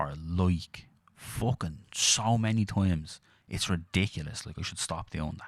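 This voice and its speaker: A man with a Dublin accent has a very deep, low pitch and ordinary pitch variation. He speaks at a moderate pace in a very clean recording with a silent background. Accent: Dublin Irish. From Ireland, Dublin. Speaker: podcast co-host. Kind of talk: casual chat.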